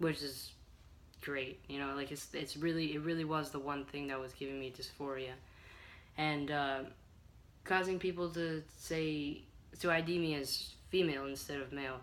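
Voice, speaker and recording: With audible room echo around him, a fairly high-pitched man speaks in a monotone, flat intonation at a moderate pace, leaving long, frequent pauses. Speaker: transgender vlogger documenting hormone therapy. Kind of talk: casual vlog. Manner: hesitant with many fillers.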